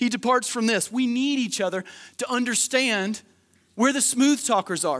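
At a moderate pace, a man talks loudly in an extremely high pitch on a very clean recording with a silent background. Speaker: pastor. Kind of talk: sermon. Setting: church; stage with audience.

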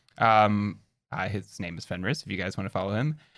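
This is a man speaking. His pitch is fairly low. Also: very clean recording, silent background. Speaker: guest co-host. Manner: formal.

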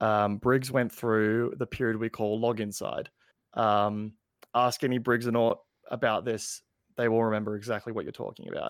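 Speaking at a moderate pace and medium pitch, a man delivers his words in a monotone, flat intonation on a very clean recording with a silent background. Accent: Australian. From Australia. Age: 20s. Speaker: gaming content creator. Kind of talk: casual chat. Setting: live-streamed podcast.

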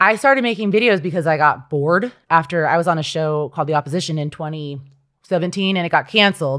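On a very clean recording with a silent background, someone with an American accent speaks at a fairly quick pace with ordinary pitch variation. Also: woman. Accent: general American, often mistaken for British. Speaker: comedian and writer. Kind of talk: casual interview chat.

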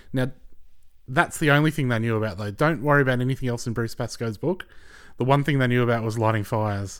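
In an Australian accent, a man with a medium pitch and ordinary pitch variation speaks at a very fast pace on a very clean recording with a silent background. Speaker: guest co-host. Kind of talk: casual political chat.

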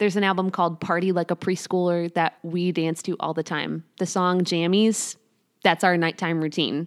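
Moderately paced and monotone, a woman with a fairly low pitch speaks in a dry, close sound with no echo on a very clean recording with a silent background. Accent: Chicago. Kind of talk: interview. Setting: home.

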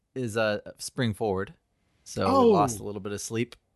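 A man at a moderate pace, dry and close with no echo, over a quiet background. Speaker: podcast host. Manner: radio host style delivery.

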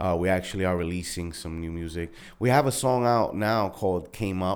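A man with a New York accent talks at a moderate pace in a very deep, low pitch. The recording is very clean, with a silent background. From Brooklyn, New York. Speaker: music artist and entrepreneur. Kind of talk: casual interview chat. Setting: studio.

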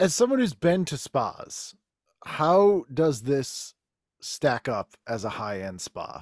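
In a very clean recording with a silent background and a dry, close sound free of echo, a man with an American accent speaks very slowly, his pitch swinging very widely and his loudness shifting a lot. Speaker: podcaster, guest. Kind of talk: casual chat.

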